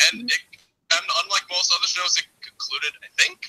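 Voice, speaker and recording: A man talks fairly quickly, and the sound is dry and close with no echo. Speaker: caller on speakerphone. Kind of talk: casual chat.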